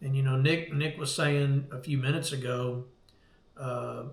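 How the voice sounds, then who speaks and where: A man with an American accent, fairly high in pitch and somewhat breathy, with fairly even intonation and audible room echo. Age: 60s. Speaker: veteran surf fisherman. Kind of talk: casual chat. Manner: halting.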